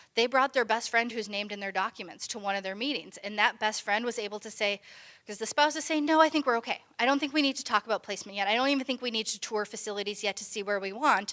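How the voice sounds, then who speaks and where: A woman with an American accent, fairly high-pitched and bright and sharp in tone, at a very fast pace with hardly any pauses and ordinary pitch variation. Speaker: elder law attorney presenter. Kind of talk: educational presentation.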